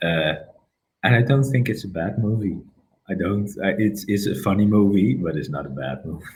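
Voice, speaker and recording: With vocal fry and lively intonation, a man speaks in a space with audible room echo. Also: fairly low pitch for a man, moderate pace. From Netherlands, North Brabant. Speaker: Batman collector. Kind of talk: interview. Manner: halting, many fillers.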